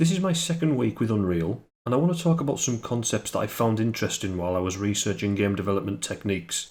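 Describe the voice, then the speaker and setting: The speaker is a man with a fairly low pitch. He talks at a very fast pace. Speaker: solo game developer. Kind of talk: casual devlog talk. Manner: monotone.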